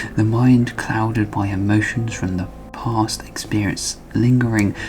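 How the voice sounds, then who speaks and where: Someone whispers at a fairly slow pace with music in the background. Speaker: amateur storyteller. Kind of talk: reading aloud own story. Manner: whispering; halting.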